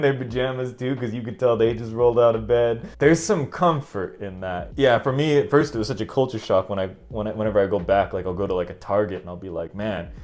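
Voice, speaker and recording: A man speaks very fast with a Northern California accent, barely pausing at all. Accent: Northern California American English. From San Francisco Bay Area, California, USA. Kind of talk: casual talk to camera.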